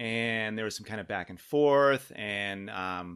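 Bright and sharp in tone, a man with an American accent speaks at a moderate pace with ordinary pitch variation in a very clean recording with a silent background. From Southern California, San Diego. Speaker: parishioner, husband and father. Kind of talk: testimony.

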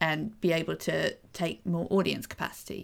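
In a very clean recording with a silent background, a woman with a British accent speaks at a fairly low pitch in a flat monotone. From Britain. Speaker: podcast co-host. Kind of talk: casual discussion podcast.

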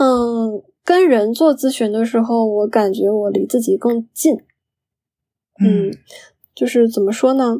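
Dark and mellow in tone yet fairly high in pitch, a woman speaks at a fairly slow pace with ordinary pitch variation and long, frequent pauses. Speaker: registered dietitian. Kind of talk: interview conversation. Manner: halting, many fillers.

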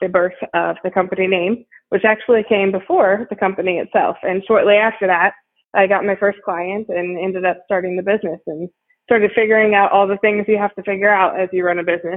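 A woman talks at a fairly quick pace with an American accent. Her medium-pitched voice keeps a monotone, flat intonation. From US Midwest, Ohio. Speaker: marketing agency founder. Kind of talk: interview.

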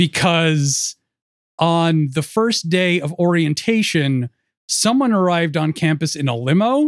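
Recorded dry and close with no echo and a silent background on a very clean recording, a man talks high-pitched at a fairly slow pace with lively intonation. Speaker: podcast host. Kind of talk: casual chat.

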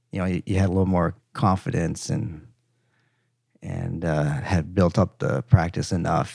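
Speaking with an American accent, a man has a very deep, low pitch and some vocal fry, at a moderate pace with ordinary pitch variation. The recording is very clean, with a silent background. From US Midwest, Minnesota. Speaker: facial plastic surgeon. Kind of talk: interview. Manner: halting.

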